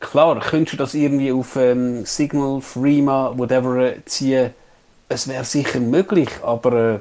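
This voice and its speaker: With a Swiss accent, a man of medium pitch speaks at a fairly slow pace in a dark, mellow tone with fairly even intonation. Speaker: podcast co-host. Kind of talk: casual chat.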